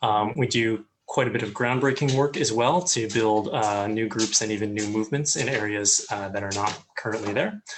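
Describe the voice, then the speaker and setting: An ordinary speaking voice with an American accent, at a moderate pace with ordinary pitch variation. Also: man. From US. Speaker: communications head of student ministry. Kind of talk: interview. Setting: online live call.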